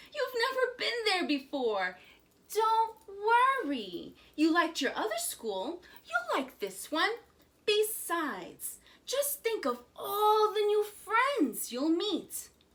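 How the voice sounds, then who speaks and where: A put-on character voice at a very slow pace with very wide pitch swings. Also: woman, extremely high pitch for a woman. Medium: read story. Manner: warm, coaxing.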